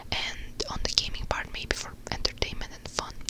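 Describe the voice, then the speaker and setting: At a moderate pace, the speaker whispers against noticeable background noise. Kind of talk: ASMR whisper ramble, casual talk to camera. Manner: whispered, soft; relaxed, chatty.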